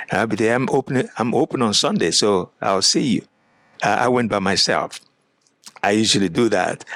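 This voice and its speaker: With an African accent and ordinary pitch variation, a man speaks in a dry, close sound with no echo. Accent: African accent, noticeable. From Nigeria. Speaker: pastor. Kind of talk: interview.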